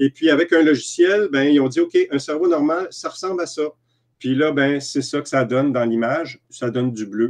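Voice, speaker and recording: The speaker has a Quebec accent and a moderate pace. Pitch variation is ordinary, and the background is quiet. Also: man, fairly high pitch for a man. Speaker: EFT practitioner and trainer; guest. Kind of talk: interview. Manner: halting. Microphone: video call.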